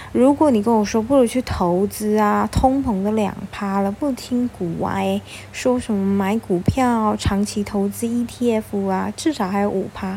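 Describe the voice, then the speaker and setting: Background noise is noticeable as a woman speaks at a fairly slow pace in an animated tone. Her voice sits at a medium pitch with ordinary pitch variation. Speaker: podcast host, stay-at-home mom blogger. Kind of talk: casual monologue, personal finance tips. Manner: toned down, gentler for recording.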